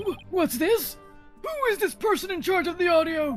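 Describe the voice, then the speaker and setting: A put-on character voice speaks at an extremely high pitch and a moderate pace. Clear music plays in the background. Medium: fan dub. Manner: emphatic, easily impressed.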